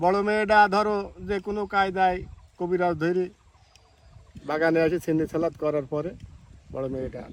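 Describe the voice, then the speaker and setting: High pitch and ordinary pitch variation in a man's voice. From Bangladesh, Kushtia. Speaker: local villager, garden owner. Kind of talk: storytelling interview.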